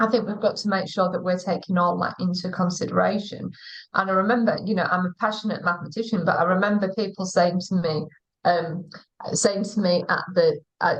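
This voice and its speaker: Talking at a fairly quick pace, a woman has a somewhat breathy voice of medium pitch and fairly even intonation. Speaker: school teaching director. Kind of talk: live interview. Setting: online live stream.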